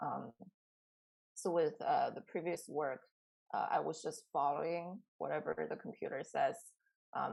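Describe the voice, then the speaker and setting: This woman speaks with a Chinese accent. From China. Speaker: artist. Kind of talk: interview. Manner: hesitant, many fillers.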